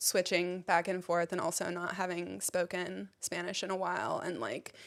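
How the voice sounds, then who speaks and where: A woman speaks in an American accent with vocal fry and monotone, flat intonation. The recording is very clean, with a silent background. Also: fairly low pitch for a woman, moderate pace. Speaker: comedian. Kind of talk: casual chat.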